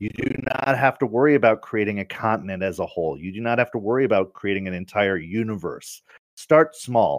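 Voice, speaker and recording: Recorded dry and close with no echo against a quiet background, a man talks at a fairly quick pace in an ordinary speaking voice, fairly low in pitch with lively intonation. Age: 30s. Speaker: tabletop gaming website founder. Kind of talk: interview.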